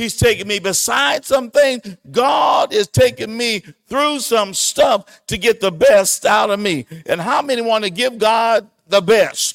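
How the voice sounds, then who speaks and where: A man shouting in an animated tone at high pitch, fairly slow in pace with hardly any pauses and ordinary pitch variation, the sound dry and close with no echo. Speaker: pastor. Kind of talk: sermon, Bible lesson. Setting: church. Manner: animated, preacher in full flow, emphatic and exhortative.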